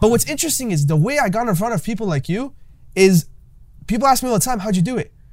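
A man speaks at a very fast pace in a high voice that makes very wide pitch swings. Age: 20s. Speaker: podcast host and young entrepreneur. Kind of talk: casual interview.

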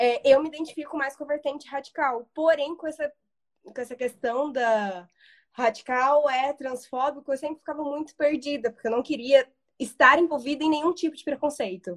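High pitch from a woman, ordinary pitch variation, big swings in loudness and a moderate pace, on a very clean recording with a silent background. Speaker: follower joining the live. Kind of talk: casual live conversation. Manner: hesitant.

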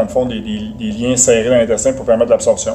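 A man speaks at medium pitch with monotone, flat intonation over noticeable background noise. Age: 40s. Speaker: nutrition specialist and strength coach. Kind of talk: interview.

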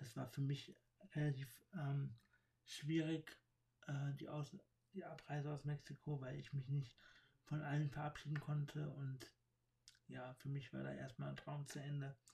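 A somewhat breathy man at a fairly slow pace, monotone and flat, with long, frequent pauses. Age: 30s. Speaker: podcaster. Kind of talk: personal monologue. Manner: halting, many fillers.

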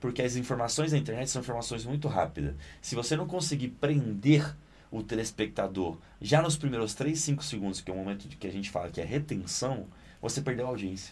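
Somewhat breathy and at a fairly quick pace, a man talks at a medium pitch with lively intonation. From Italy, Naples. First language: Italian (speaking Portuguese). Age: 20s. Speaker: actor and director. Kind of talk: casual interview. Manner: animated.

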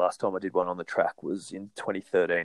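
This man talks at a fairly quick pace with an Australian accent. His pitch is very deep and low, and the sound is dry and close, with no echo. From New South Wales, Australia. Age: 30s. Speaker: professional runner. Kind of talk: casual interview.

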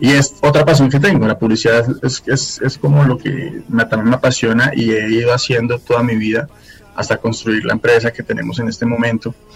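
Over noticeable background noise, a man talks at a fairly quick pace at a medium pitch with ordinary pitch variation. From Colombia, Fusagasugá. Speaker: singer-songwriter and advertising professional. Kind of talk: casual interview.

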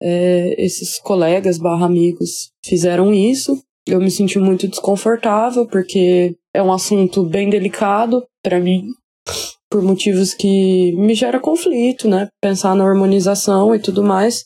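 In an unremarkable speaking voice, a woman talks at a fairly slow pace and medium pitch, keeping her loudness very even. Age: 20s. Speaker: listener sending a voice message. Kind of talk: recorded voice message, personal vent.

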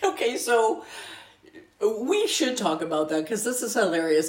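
There is noticeable background noise. A woman's voice comes through over it. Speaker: podcast co-host. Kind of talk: casual banter. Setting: same room, recording together. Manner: joking, playful.

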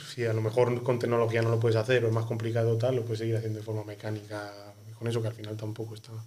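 Talking at a very fast pace in a monotone, flat intonation, a man is heard with audible room echo and noticeable background noise. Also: medium pitch for a man. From Spain, Ávila. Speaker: podcast host. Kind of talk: casual chat.

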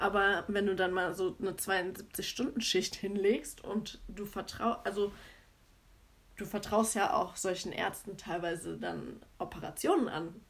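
Speech unfolds at a fairly slow pace. The intonation is fairly even throughout. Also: woman, medium pitch for a woman. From Germany, Cologne. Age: 30s. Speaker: podcast co-host, nurse. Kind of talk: casual chat.

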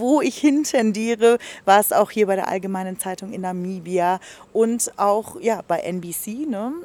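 With an unremarkable speaking voice, a woman talks at a fairly high pitch and with lively intonation. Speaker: radio podcast host. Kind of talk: casual interview. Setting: restaurant garden.

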